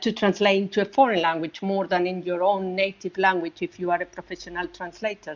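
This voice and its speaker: A woman at medium pitch with a Spanish accent and fairly even intonation. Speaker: audience member, translator. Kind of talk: audience question. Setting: virtual event. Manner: halting, searching for words.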